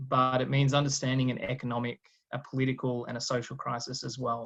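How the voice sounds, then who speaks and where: A man at a moderate pace, medium pitch and fairly even intonation, with an Australian accent. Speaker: guest lecturer, political scientist. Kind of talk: lecture.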